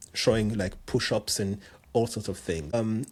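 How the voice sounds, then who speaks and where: A man with a French accent speaks in a monotone, flat intonation at a fairly low pitch on a very clean recording with a silent background. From France, Cameroonian parents. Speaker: jump rope coach and personal trainer. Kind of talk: podcast interview. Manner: halting, many repetitions.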